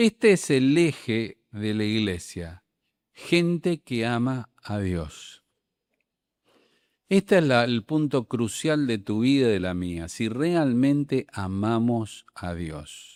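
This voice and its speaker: On a very clean recording with a silent background and a dry, close sound with no echo, a medium-pitched man speaks at a very slow pace with very wide pitch swings. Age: 60s. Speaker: preacher. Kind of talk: sermon. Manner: animated.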